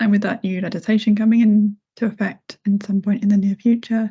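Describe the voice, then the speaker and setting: A woman with a fairly high pitch and a dark, mellow, somewhat breathy tone speaks at a fairly quick pace in a monotone, flat intonation. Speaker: head of accessibility. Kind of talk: casual chat. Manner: quiet.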